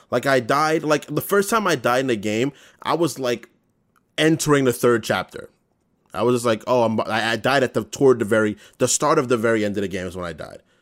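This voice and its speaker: Using lively intonation, a man with a normal speaking voice and medium pitch talks at a fairly quick pace. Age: 20s. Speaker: podcast co-host. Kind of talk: casual chat.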